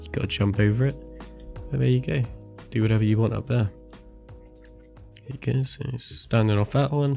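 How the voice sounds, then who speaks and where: Lively intonation carries the speech at a moderate pace while music plays in the background. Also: man. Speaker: gaming video creator. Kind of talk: game review walkthrough narration.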